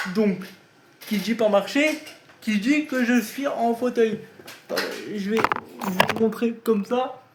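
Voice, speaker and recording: Extremely high in pitch with ordinary variation, a man talks at a very slow pace against noticeable background noise. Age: 20s. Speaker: YouTuber, wheelchair user. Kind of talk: casual vlog. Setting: at home, bedroom. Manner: casual, hesitant.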